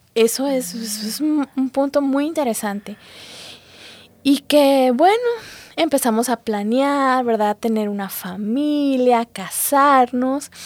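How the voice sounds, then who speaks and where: Very slowly, a woman talks in a high register. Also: ordinary pitch variation. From Guatemala. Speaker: physician giving church testimony. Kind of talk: testimony.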